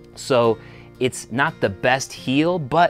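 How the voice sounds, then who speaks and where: A man's voice shows ordinary pitch variation, with faint music behind it. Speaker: boot reviewer. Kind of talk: product review talk to camera. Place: shop. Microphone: lapel.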